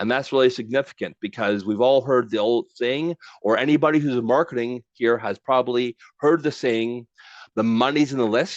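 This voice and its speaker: The sound is dry and close with no echo, and the background is quiet. A man talks at a moderate pace in an unremarkable speaking voice, with medium pitch and ordinary pitch variation. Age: 60s. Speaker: LinkedIn trainer. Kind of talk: webinar presentation. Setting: online webinar with chat.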